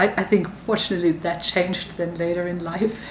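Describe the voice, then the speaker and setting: A woman's fairly low voice in a German accent, with fairly even intonation, noticeable background noise, and audible room echo. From Germany. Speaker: university dean. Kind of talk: interview talk to camera.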